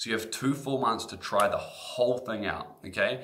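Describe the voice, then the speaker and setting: Noticeable background noise is present. The voice has a slight New Zealand accent and ordinary pitch variation. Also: man. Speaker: guitar teacher. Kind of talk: sales pitch. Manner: animated.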